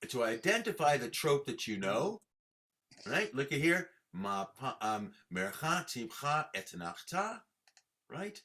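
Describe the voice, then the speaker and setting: With long, frequent pauses and vocal fry, a man speaks at a fairly slow pace in a bright, sharp tone, his fairly high pitch making very wide swings. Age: 70s. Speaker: cantor teaching Torah chanting. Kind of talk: online lesson.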